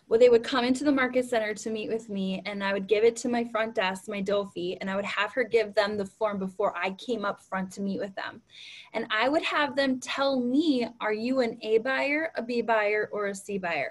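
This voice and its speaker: A woman speaks with a fairly high pitch. She barely pauses at all. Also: ordinary pitch variation. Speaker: real estate team leader and trainer. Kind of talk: training talk. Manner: fast.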